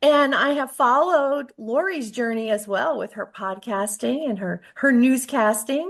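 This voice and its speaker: Lively intonation at a fairly slow pace. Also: woman. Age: 70s. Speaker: author and entrepreneur. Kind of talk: interview.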